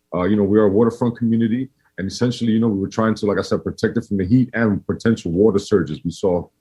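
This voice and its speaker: A man speaks at a very fast pace in a New York accent. His pitch is fairly low. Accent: New York East Coast. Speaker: community organization director. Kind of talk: podcast interview. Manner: casual, many fillers and restarts.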